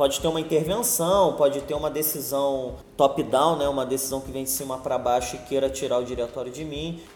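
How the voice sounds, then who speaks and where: A man with a fairly high pitch, fairly even intonation and hardly any pauses, over noticeable background noise. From Rio de Janeiro, Ilha do Governador. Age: 30s. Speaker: political candidate and entrepreneur. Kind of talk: podcast interview. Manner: casual, filler-heavy.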